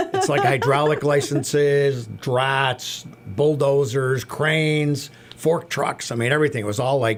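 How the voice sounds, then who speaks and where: A man's fairly high voice at a fairly slow pace, with very even loudness, fairly even intonation and noticeable background noise. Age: 60s. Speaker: carousel maintenance mechanic. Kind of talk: radio interview.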